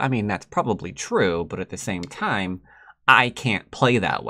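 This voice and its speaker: Speaking at a fairly slow pace in an American accent, a man sounds animated with a bright, sharp tone over a quiet background. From United States. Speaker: Go player and teacher; teacher. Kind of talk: commentated game tutorial. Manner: casual, animated.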